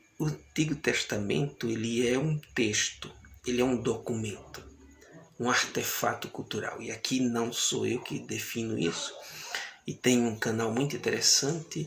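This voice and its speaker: Soft-spoken and at a fairly slow pace, a man talks with ordinary pitch variation amid audible room echo. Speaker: bible teacher. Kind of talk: lecture.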